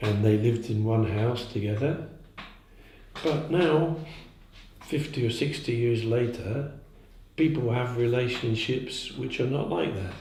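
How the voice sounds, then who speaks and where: With audible room echo, a man speaks in a dark, mellow, somewhat breathy tone at a fairly slow pace, leaving long, frequent pauses. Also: medium pitch for a man, ordinary pitch variation. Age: 70s. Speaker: zen teacher. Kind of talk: dharma talk. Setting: meditation day talk in Prague. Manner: halting.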